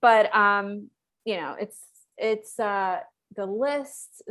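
A woman speaks at a very slow pace in a medium pitch, with ordinary pitch variation, against a quiet background. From Slovakia. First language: Slovak. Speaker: health coach. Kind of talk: casual interview.

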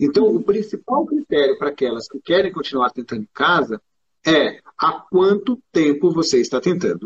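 Recorded dry and close with no echo, a man talks at a moderate pace in a high voice. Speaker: gynecologist. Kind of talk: interview. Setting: live video stream.

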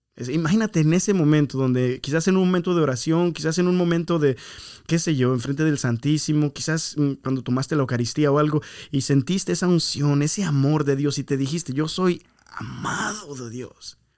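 This man's voice sits fairly high, with ordinary pitch variation. He talks at a fairly quick pace. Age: 30s. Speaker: podcast host, church minister. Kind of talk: casual chat. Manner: code-switching, hesitant with fillers.

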